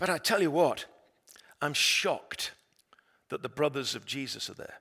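A man with an English accent at a moderate pace. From England. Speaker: pastor. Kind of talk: sermon.

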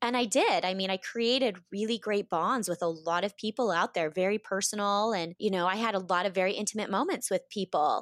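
With an American accent and a normal speaking voice, the speaker moves at a fairly quick pace with fairly even intonation in a dry, close sound with no echo. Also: woman. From US West, Boise, Idaho. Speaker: reality TV contestant and yoga instructor. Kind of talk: interview.

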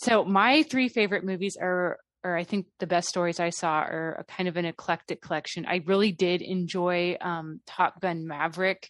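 A woman speaks in an unremarkable speaking voice, fairly low in pitch, at a moderate pace with fairly even intonation and hardly any pauses, the sound dry and close with no echo against a quiet background. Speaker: movie reviewer. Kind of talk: casual chat.

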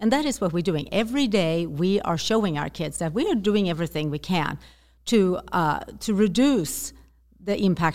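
A woman with a Swedish accent speaks at a fairly low pitch with lively intonation and vocal fry. The recording is very clean, the background silent. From Sweden. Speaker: zero-waste activist and author. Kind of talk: interview conversation. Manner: halting, hesitant with fillers.

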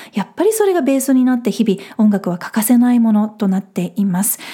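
A woman's fairly high voice, very fast and full of lively intonation. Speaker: podcast host. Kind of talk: solo podcast talk.

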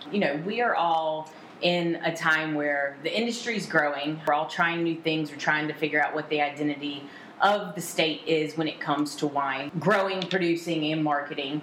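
Amid noticeable background noise and audible room echo, a woman with a very deep, low pitch talks at a moderate pace with fairly even intonation. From central North Carolina. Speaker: tasting room manager. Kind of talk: casual interview chat. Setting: on location at a vineyard.

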